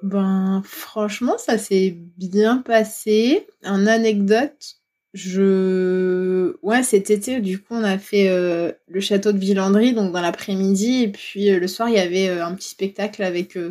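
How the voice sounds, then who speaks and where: Very slow, fairly even speech from a woman at medium pitch, dark and mellow in tone, on a very clean recording with a silent background. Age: 30s. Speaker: dog owner who visits castles. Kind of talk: casual interview.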